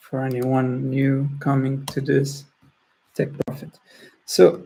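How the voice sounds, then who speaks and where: Speaking at a fairly slow pace, a man with a fairly high pitch has a dark, mellow tone that is somewhat breathy. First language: not English. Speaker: trading tutorial host. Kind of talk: screen-share tutorial. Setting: screen-share recording. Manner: halting, many restarts.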